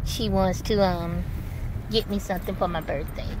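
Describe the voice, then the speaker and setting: Over noticeable background noise, a woman speaks at a moderate pace, the sound dry with no echo. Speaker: vlogger. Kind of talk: casual vlog chat. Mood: warm, upbeat. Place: car. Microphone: phone near.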